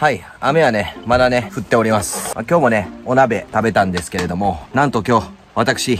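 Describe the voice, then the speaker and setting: A man at a moderate pace with hardly any pauses, amid noticeable background noise. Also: dry sound with no echo. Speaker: camping vlogger. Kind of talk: casual vlog chat. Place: tent. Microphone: phone near.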